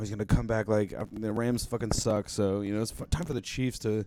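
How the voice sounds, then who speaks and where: Fairly even in intonation, a man talks at a very fast pace with a fairly low pitch. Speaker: music producer and livestreamer. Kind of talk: casual livestream chat. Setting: livestream.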